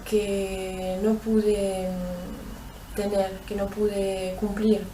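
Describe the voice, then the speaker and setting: Very slowly, a woman talks at a medium pitch. Room echo is audible, along with noticeable background noise. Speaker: abuse survivor. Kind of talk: testimony. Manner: halting, many fillers.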